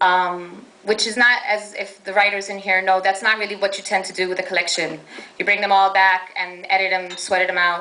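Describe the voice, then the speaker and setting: A woman with an American accent speaks fairly quickly at a medium pitch, her intonation flat and monotone but her loudness swinging widely. Audible room echo and noticeable background noise fill the recording. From New York, Brooklyn. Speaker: poet. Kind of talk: poetry reading. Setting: stage with audience.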